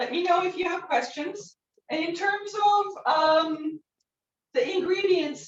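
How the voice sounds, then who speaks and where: A woman is speaking. She has a Turkish accent. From northwestern Turkey. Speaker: cooking instructor. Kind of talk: cooking demonstration. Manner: hesitant, many fillers.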